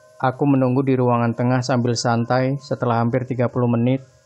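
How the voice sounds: The speaker reads aloud. It is a natural reading voice.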